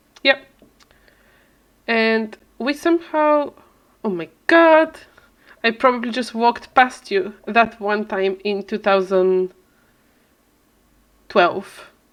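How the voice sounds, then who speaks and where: A woman with an Eastern European accent talks at a very slow pace, leaving long, frequent pauses. Her fairly high pitch moves with lively intonation. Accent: mild Eastern European. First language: not English, a lesser-known language. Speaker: video game streamer. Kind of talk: casual live-stream chat.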